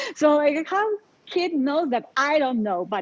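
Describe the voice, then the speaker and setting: Lively intonation and a dark, mellow tone in a Polish accent, over a quiet background. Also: woman. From Poland. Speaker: life coach. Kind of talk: interview.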